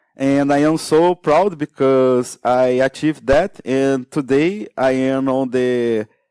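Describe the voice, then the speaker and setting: Using a non-native accent, a man with a fairly high pitch and a dark, mellow tone speaks at a very slow pace in a dry, close sound with no echo on a very clean recording with a silent background. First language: Portuguese. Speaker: security researcher. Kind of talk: conference talk. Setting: stage with audience. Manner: halting, many fillers.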